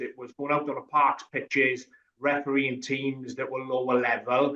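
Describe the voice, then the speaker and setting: With a strong Welsh accent, a man talks at a fairly high pitch and a fairly quick pace. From Wales. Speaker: rugby referee. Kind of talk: podcast interview.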